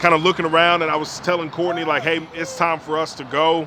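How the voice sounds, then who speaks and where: Noticeable background noise sits behind this voice. The man speaking has a fairly high pitch. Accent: American. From Alabama, US South. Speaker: pastor. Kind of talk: casual chat.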